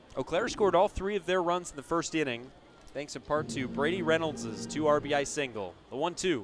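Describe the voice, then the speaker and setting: Over music in the background, a man with a fairly high pitch talks at a fairly quick pace with lively intonation. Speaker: baseball radio play-by-play announcer. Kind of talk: live baseball play-by-play radio broadcast.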